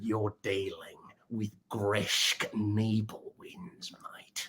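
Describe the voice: Putting on a character voice, a man speaks at a very slow pace with a medium pitch.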